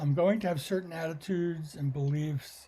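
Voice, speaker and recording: A man's fairly high voice with a dark, mellow tone. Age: 70s. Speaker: musician and producer. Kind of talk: interview. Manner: halting, many fillers.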